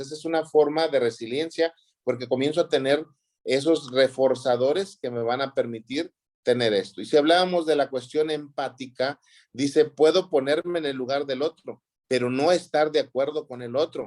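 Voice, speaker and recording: Using a normal speaking voice, a man speaks at a moderate pace with ordinary pitch variation. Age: 60s. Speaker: counseling teacher. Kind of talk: lecture.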